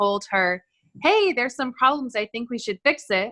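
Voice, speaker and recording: Loud and with a bright, sharp tone, a woman with an American accent speaks with ordinary pitch variation in a dry, close sound with no echo. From US West Coast, Los Angeles. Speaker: nurse. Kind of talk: self-introduction in online class. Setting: video call. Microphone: too quiet, has to speak loud.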